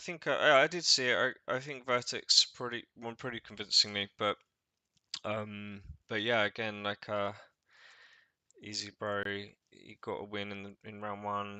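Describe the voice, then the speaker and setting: With an English accent, a man speaks at a moderate pace in a fairly low pitch, his intonation fairly even but his loudness swinging widely. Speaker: tournament organizer and co-host. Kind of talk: casual chat. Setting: livestream.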